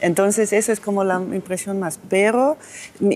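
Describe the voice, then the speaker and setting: At a moderate pace, a woman speaks in a German accent at a medium pitch. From Austria. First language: German (speaking Spanish). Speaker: politician. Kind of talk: interview. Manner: halting, many restarts and fillers.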